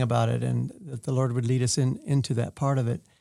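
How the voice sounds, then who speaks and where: A man's very fast American-accented speech at medium pitch, dark and mellow in tone, on a very clean recording with a silent background. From US West Coast. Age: 70s. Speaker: internship program director. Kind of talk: interview.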